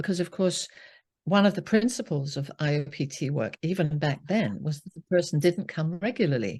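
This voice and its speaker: A woman with a British accent speaks at a moderate pace in a fairly low, somewhat breathy voice with lively intonation, recorded with a dry, close sound and no echo against a quiet background. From UK. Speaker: psychotherapist. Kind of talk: interview.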